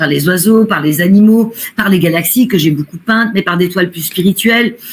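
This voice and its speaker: At a moderate pace, a woman speaks in a somewhat breathy voice at a medium pitch, with ordinary pitch variation. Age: 60s. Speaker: medium and painter. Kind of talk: interview.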